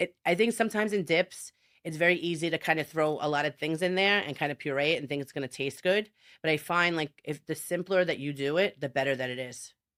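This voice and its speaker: In a Brooklyn accent, a woman with a very deep, low voice races along at a very fast pace, her pitch varying normally, in a very clean recording with a silent background. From Brooklyn, New York. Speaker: chef. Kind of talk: interview answer.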